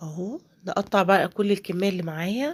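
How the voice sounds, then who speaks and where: With a dark, mellow tone and a medium pitch, a woman speaks at a very slow pace in a very clean recording with a silent background. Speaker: home cook. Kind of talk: cooking tutorial. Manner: casual, hesitant with fillers.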